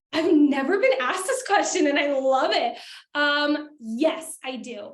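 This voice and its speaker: Animated in tone, a woman speaks at a fairly slow pace and a high pitch with ordinary pitch variation, with audible room echo around her. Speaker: productivity coach and workshop presenter. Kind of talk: interactive workshop.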